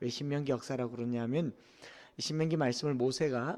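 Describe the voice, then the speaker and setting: The speaker talks at a fairly quick pace in a Gyeongsang accent. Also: man. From Korea, Daegu (Gyeongsang region). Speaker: pastor. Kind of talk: sermon.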